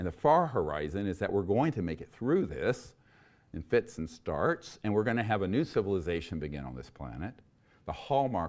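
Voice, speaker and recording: Vocal fry runs through this man's very deep, low voice as he speaks at a fairly quick pace. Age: 60s. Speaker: UFO disclosure lecturer, former emergency doctor. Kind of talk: lecture. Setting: university hall with audience.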